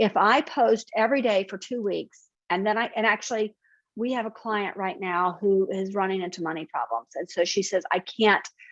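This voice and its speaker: Against a quiet background, a woman with a Southern US accent speaks at a medium pitch with ordinary pitch variation. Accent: Southern American. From US South. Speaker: marketing consultant. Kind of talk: webinar presentation.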